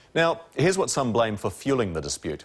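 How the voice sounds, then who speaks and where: Vocal fry runs through this voice with a New Zealand accent, and the pitch swings very widely. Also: man. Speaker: TV news reporter. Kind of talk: scripted news explainer.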